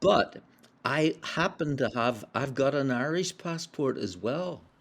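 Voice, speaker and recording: A man with a Belfast accent, a fairly high pitch, lively intonation, and a very slow pace, on a very clean recording with a silent background. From Northern Ireland, Belfast. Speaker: spiritual practitioner, former publisher. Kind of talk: interview storytelling. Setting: podcast interview.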